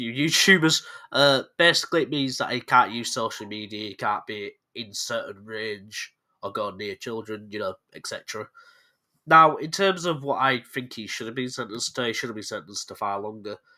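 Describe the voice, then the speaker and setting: On a very clean recording with a silent background, a man's medium-pitched voice has a bright, sharp tone, lively intonation and big swings in loudness. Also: moderate pace. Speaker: YouTuber, true crime commentator. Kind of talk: casual commentary video. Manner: casual, with fillers and self-corrections.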